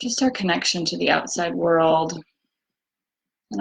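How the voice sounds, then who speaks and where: A woman's fairly low voice with vocal fry, at a moderate pace. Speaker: EFT tapping practitioner. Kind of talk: guided tapping session. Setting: livestream from bedroom.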